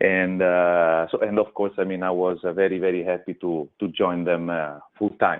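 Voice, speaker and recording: A man's very deep, low voice in an Italian accent, with monotone, flat intonation and hardly any pauses. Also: moderate pace. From Italy, Rome. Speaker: food company manager. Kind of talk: radio interview. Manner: halting, many fillers.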